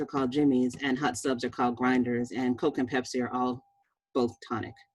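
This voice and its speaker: A woman talks very fast with an American accent, her pitch very deep and low. Music plays in the background. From Boston, Massachusetts. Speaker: physician. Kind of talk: presentation.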